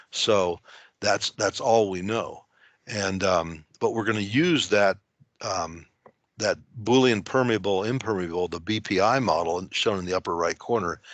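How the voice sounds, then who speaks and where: The speech moves at a fairly slow pace with ordinary pitch variation. Behind it, the background stays quiet. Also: man. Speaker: geologist presenting a modeling workflow. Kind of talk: technical webinar presentation. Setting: online screen-share presentation. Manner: halting, many fillers and repeated words.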